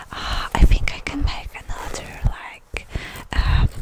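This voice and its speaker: Very slow whispering amid noticeable background noise. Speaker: ASMR creator. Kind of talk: rambling ASMR talk. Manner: whispered; soft-spoken, low-energy.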